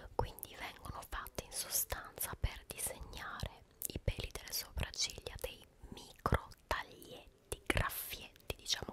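Whispering and soft-spoken, a woman talks at a fairly slow pace. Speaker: ASMR-style vlogger. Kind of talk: casual vlog chat. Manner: soft close-mic ASMR whisper. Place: home room. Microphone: studio mic.

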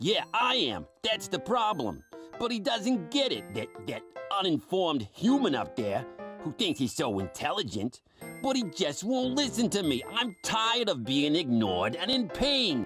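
A put-on character voice at middle pitch swings very widely up and down. It moves at a moderate pace over faint background music. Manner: whiny, complaining.

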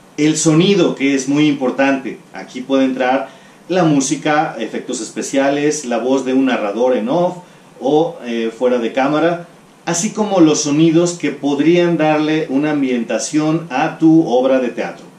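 Audible room echo surrounds a man talking at a fairly slow pace with ordinary pitch variation. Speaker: teacher. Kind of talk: lecture. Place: home room.

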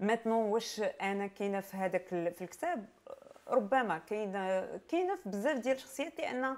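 This woman speaks with a Moroccan accent. Her pitch is fairly high and her intonation lively. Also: moderate pace. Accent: Moroccan Darija with French code-switching. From Morocco. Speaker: playwright; guest. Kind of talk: interview. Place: shop. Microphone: lapel.

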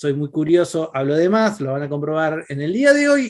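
With a Rioplatense accent, a man speaks at a moderate pace over a quiet background. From Argentina, Buenos Aires province. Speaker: panel moderator, philosopher and tech journalist; panelist, tech journalist. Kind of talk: panel discussion. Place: home room. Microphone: video call.

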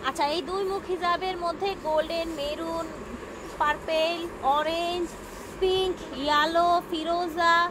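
A woman speaks at an extremely high pitch in a flat monotone. The sound is dry with no echo, and background noise is noticeable. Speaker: shopping vlogger presenter. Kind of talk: product showcase commentary. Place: shop. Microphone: phone near.

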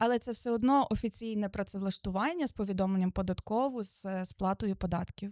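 Recorded very cleanly against a silent background, with a dry, close sound and no echo, a woman in a normal speaking voice talks at a fairly quick pace, medium pitch and ordinary pitch variation. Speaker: lawyer. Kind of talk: expert explanation, interview. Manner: precise, formal, explanatory.

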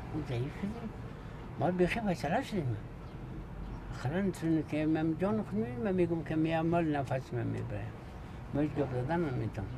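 Over noticeable background noise, the speech moves at a fairly quick pace with lively intonation and long, frequent pauses. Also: man. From Afghanistan. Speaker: traditional bone setter. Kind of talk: interview answer. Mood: weary, reflective. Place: home room.

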